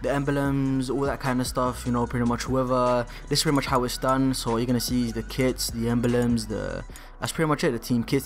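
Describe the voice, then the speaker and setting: Music plays in the background as a man talks at a fairly quick pace in a medium pitch with monotone, flat intonation. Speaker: gaming tutorial youtuber. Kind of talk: tutorial. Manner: fast; casual, filler-heavy.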